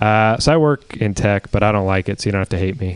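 Noticeable background noise sits behind a man's voice. He talks at a very fast pace with a fairly low pitch. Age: 20s. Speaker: comedian. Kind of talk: stand-up.

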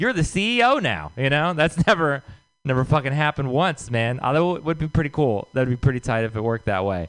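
Talking at a fairly quick pace, a man with an American accent uses an ordinary speaking voice. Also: fairly high pitch for a man, lively intonation. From Texas. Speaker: comedian. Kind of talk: stand-up. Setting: stage with audience.

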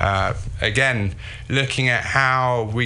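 A man with a London accent and a medium pitch. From London, England. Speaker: sculptor and filmmaker. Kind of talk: interview.

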